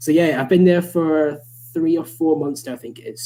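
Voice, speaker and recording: A man's dark, mellow voice in a Scottish accent, at a fairly quick pace. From Scotland, Scottish Borders. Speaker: motorsport journalist. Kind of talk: casual chat. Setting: live online show.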